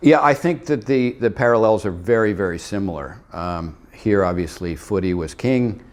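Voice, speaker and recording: A man in a Canadian accent talks at a moderate pace with hardly any pauses. His fairly low pitch swings very widely. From Canada. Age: 70s. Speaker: former basketball player. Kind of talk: interview. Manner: halting, many fillers.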